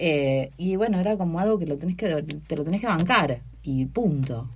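The speaker has an Argentine accent and lively intonation. Vocal fry runs through the voice. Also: woman. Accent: Rioplatense Argentine Spanish. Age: 40s. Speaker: comedian and university researcher. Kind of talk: casual interview chat.

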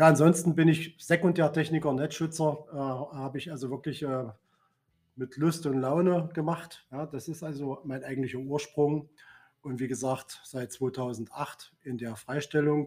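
A man uses an ordinary speaking voice with a fairly high pitch. He goes at a fairly slow pace, and his loudness swings widely. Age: 50s. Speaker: works council chair and trade unionist. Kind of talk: casual chat.

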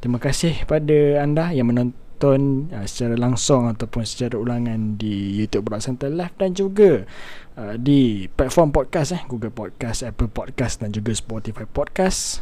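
A man's dark, mellow voice at medium pitch, moderate pace and lively intonation. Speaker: live talk show host. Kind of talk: live-streamed talk show hosting. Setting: live online stream.

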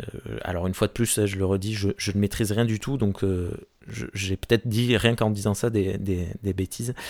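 Recorded very cleanly against a silent background, a man with a fairly low pitch speaks at a moderate pace. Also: fairly even intonation. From Gascony, southwest France (Gers). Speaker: podcast host. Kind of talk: casual chat. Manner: halting, many hesitations.

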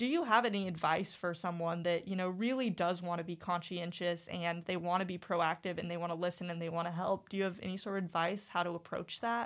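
A woman at a very fast pace with hardly any pauses, fairly even intonation and a quiet background. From Eureka Springs, Arkansas. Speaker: student media director and podcast host. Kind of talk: casual interview chat. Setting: studio.

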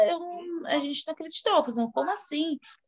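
A woman's voice with very wide pitch swings. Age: 30s. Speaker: preschool worker. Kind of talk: interview about grief. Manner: halting.

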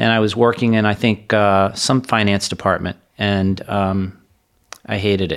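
A man with an American accent speaks in an ordinary speaking voice, fairly low in pitch, at a moderate pace with fairly even intonation. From South Florida. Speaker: financial advisor. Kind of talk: interview conversation.

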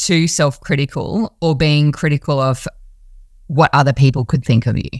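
At a moderate pace, a woman speaks in a very clean recording with a silent background. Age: 30s. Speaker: podcast host. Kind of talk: interview.

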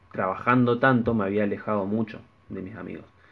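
A man with a plain, everyday voice and a fairly low pitch speaks at a moderate pace. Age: 20s. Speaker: podcast co-host. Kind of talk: casual chat.

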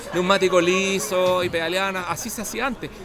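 Over noticeable background noise and audible room echo, a man with a Chilean accent speaks at a moderate pace in a high pitch. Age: 40s. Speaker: long-distance cyclist. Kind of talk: casual chat. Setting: bar.

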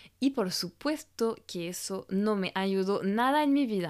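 Speaking in a French accent, a woman uses medium pitch and ordinary pitch variation on a very clean recording with a silent background. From France. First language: French (speaking Spanish). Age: 30s. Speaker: image coach and podcast host. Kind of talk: solo podcast monologue.

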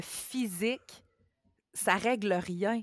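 The recording is very clean, with a silent background and a dry, close sound free of echo. A woman speaks in a Quebec accent. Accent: Québécois French. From Quebec, Mauricie. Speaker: bariatric surgery patient sharing experience. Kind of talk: testimony.

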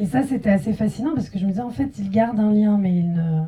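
A woman's medium-pitched voice, dark and mellow in tone, somewhat breathy, at a fairly quick pace. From France. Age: young. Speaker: filmmaker. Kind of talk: post-screening panel discussion.

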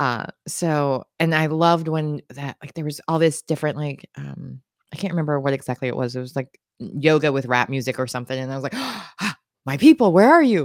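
In an American accent, a woman with a very deep, low voice speaks fairly quickly with ordinary pitch variation and big swings in loudness, recorded dry and close with no echo. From California. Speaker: podcast host. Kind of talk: casual interview chat.

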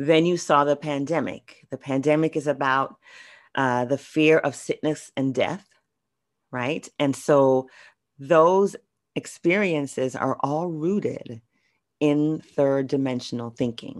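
Her pitch is very deep and low for a woman. She speaks at a very slow pace. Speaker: spiritual video blogger. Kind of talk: spiritual vlog monologue. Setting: video recording.

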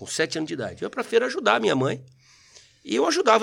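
A man speaking at a very fast pace, in a very clean recording with a silent background. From Brazil, São Paulo region (Mauá), born in Rio. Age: 40s. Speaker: retired military police sergeant and politician. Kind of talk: casual interview chat. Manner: animated.

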